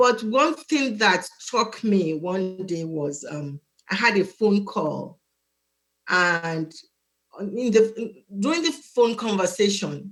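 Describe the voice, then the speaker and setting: Speaking at a very slow pace, a woman talks with an African accent. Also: medium pitch for a woman, lively intonation. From Nigeria. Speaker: student advisor. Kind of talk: interview. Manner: animated.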